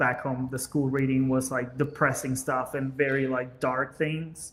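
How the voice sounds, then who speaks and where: Delivered at a fairly slow pace in a Spanish accent, the speech has a monotone, flat intonation. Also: man, medium pitch for a man. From Venezuela. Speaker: business owner, podcast guest. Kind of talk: casual chat.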